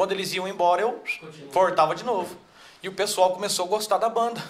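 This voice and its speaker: The speech is very fast with fairly even intonation. Noticeable background noise is present. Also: man. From interior of São Paulo state (Barretos). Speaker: sertanejo singer. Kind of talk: casual interview.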